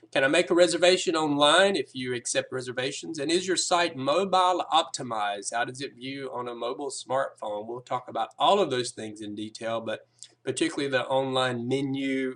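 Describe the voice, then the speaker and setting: A man with a Southern US accent talks fairly quickly at a medium pitch, with hardly any pauses and big swings in loudness. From US South. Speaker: app developer giving a business presentation. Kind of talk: sales pitch presentation. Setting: recorded video, reading from a screen. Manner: casual, with frequent filler words.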